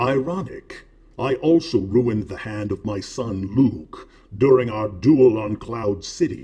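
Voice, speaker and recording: Using a put-on character voice, a man delivers his lines deadpan at a fairly slow pace and a medium pitch. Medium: comedy sketch. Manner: slow, imperious, deadpan.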